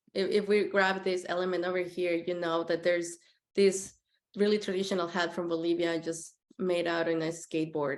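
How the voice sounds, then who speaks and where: This woman, with a Spanish accent, talks at a moderate pace in a medium pitch, her intonation fairly even. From Mexico City. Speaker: graphic designer. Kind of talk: presentation talk. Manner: hesitant, many fillers.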